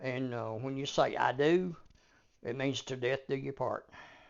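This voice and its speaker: A man with a Southern US accent talks at a fairly slow pace. His pitch sits in the medium range. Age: 70s. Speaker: grandfather of the hosts, podcast guest. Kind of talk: casual family interview chat. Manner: halting, many fillers and repeats.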